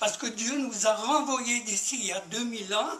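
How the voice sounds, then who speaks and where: A man with a high pitch uses a raised, projected voice at a fairly slow pace with ordinary pitch variation. Noticeable background noise is audible. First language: Spanish (speaking French). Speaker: audience member, war veteran. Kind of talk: audience question. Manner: halting.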